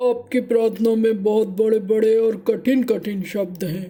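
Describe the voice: Fairly even intonation in plain reading aloud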